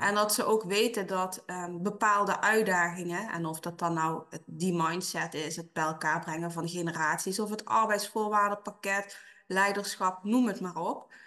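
Here is a woman with a bright, sharp tone and fairly even intonation. She keeps a moderate pace with hardly any pauses. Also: medium pitch for a woman. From Dutch Limburg. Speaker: HR consultant. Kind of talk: interview.

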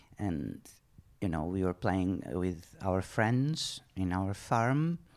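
Here a man with a Portuguese accent speaks at a very deep, low pitch and a very slow pace, with lively intonation. The recording is very clean, with a silent background. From Portugal. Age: 50s. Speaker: horse rider and riding instructor. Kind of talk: interview. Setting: living room at home.

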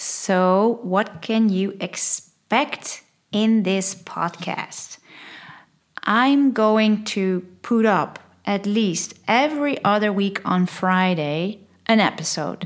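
A woman with a Dutch accent at medium pitch, speaking at a very slow pace with very even loudness and ordinary pitch variation, on a very clean recording with a silent background. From Netherlands. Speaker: podcast host and change consultant. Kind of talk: scripted-style solo podcast intro, casual.

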